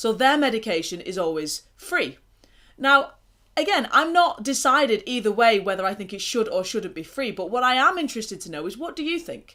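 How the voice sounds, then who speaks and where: Her bright, sharp tone in an English accent comes at a fairly quick pace, as this woman's fairly high pitch swings very widely and her loudness rises and falls in big swings. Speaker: mental health vlogger. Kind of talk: casual talk to camera. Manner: pausing often.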